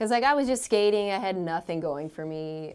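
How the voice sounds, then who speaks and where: A woman with a Canadian accent speaks at a moderate pace in an unremarkable speaking voice. Her pitch sits in the medium range, and her intonation is lively. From Ontario, Canada. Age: 30s. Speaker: skateboarder and homesteader. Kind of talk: casual chat.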